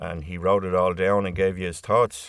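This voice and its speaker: A man speaks with a Dublin accent in a very deep, low pitch. The recording is very clean, with a silent background. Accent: Irish (Dublin). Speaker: poet. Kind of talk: spoken introduction to a poem. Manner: hesitant, conversational.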